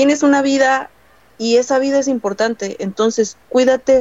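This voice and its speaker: At a fairly slow pace, a woman speaks. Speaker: podcast guest. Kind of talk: casual chat. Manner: animated. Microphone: choppy audio, too far from mic.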